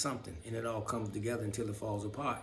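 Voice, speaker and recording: The delivery is very fast. Noticeable background noise and audible room echo fill the recording. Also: man. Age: 60s. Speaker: video blogger. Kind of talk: personal monologue to camera. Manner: halting, stumbling; unscripted, rambling speech.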